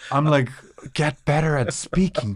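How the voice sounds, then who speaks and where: A male voice moves fairly slowly, with pitch varying in an ordinary way. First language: not English. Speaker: podcast co-host. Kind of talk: casual chat. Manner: halting.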